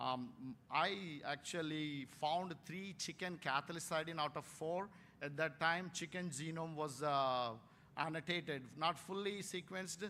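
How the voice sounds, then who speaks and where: Bright and sharp in tone, a man's voice sits at a fairly high pitch with ordinary variation. He talks at a fairly slow pace. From India, Warangal, Telangana. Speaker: veterinary scientist, keynote speaker. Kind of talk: keynote lecture. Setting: conference stage with audience. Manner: hesitant, many fillers.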